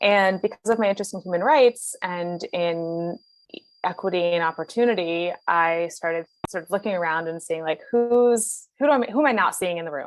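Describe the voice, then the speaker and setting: Her medium-pitched voice moves at a moderate pace as the woman speaks with ordinary pitch variation. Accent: American. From US, Philadelphia. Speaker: venture capital investor. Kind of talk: interview. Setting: video call.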